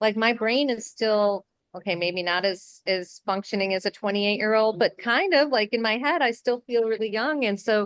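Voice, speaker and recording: A woman speaks in a normal speaking voice, fairly high in pitch with ordinary pitch variation. Her pace is moderate, with hardly any pauses. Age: 50s. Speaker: interviewer, beauty collective host. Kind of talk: interview.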